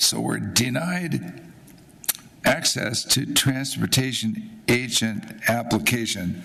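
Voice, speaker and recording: Through audible room echo and noticeable background noise, a man talks very slowly. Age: 80s+. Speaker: business owner giving public comment. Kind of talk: public comment at hearing.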